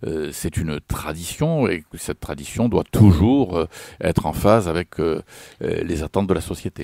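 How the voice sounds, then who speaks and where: A man speaks with a very deep, low pitch and a dark, mellow tone, with ordinary pitch variation, at a moderate pace. The sound is dry and close, with no echo. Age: 60s. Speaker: retired politician. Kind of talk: radio interview. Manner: hesitant, many fillers.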